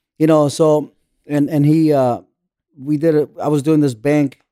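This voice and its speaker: The man's voice has a dark, mellow tone and monotone, flat intonation. The sound is dry and close, with no echo. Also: long, frequent pauses. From Orange County, California. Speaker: construction general foreman. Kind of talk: casual interview.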